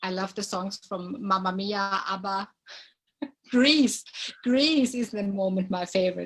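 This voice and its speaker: A woman with a German accent speaks at a fairly slow pace, her medium pitch moving with ordinary variation. Her voice is somewhat breathy, with long, frequent pauses. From Germany. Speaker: dancer. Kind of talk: casual chat. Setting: live video stream. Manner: hesitant.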